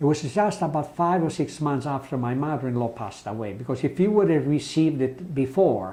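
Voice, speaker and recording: An Italian accent marks this man's speech. His pitch sits fairly high, with ordinary pitch variation. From Italy. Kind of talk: interview answer.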